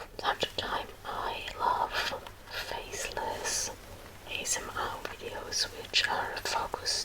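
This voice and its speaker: A woman whispers at a very slow pace with noticeable background noise around her. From Germany. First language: German. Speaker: ASMR creator. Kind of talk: Q&A chat to viewers, ASMR. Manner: soft-spoken, whispery; hesitant, many fillers.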